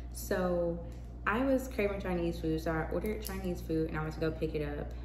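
A woman talks at a very fast pace. Noticeable background noise is present. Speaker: vlogger. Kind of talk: casual vlog monologue. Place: home room. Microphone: phone near.

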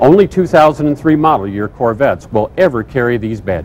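Over light background noise, a man talks with very wide pitch swings. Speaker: presenter. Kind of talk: presentation to camera. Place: hall. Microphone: lapel.

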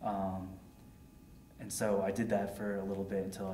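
A man's fairly low voice in an American accent, monotone and flat, with light background noise and audible room echo. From Connecticut, Hartford area; Connecticut. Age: 20s. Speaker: war veteran. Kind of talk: oral history interview. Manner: halting, many fillers. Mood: calm, reflective. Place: home room.

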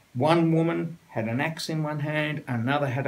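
A man with an Australian accent, fairly slow pace, and ordinary pitch variation. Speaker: writer. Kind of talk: interview answer. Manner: humorous anecdotal storytelling. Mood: amused, storytelling. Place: home room.

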